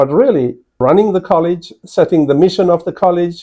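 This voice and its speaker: Against a quiet background, a man with a South African accent speaks at a high pitch with a dark, mellow tone. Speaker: college provost, professor. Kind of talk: interview answers to students. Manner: hesitant with frequent fillers.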